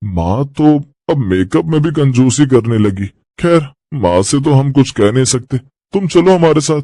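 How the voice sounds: A man puts on a cartoonish character voice at a medium pitch, with very wide pitch swings. He talks at a moderate pace against a quiet background.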